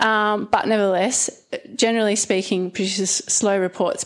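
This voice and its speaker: A woman with an Australian accent speaks at medium pitch and a moderate pace, with ordinary pitch variation. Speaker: geographer, climate researcher. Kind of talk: panel discussion talk. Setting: stage with audience.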